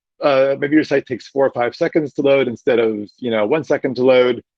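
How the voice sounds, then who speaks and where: A man talking at a fairly quick pace. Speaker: web developer workshop instructor. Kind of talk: workshop lecture. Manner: fast; animated.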